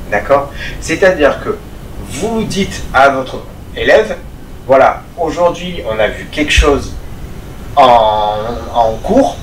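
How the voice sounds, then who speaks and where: A very slow-talking man is heard with noticeable background noise and audible room echo. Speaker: martial arts instructor. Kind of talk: tutorial. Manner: calm, measured.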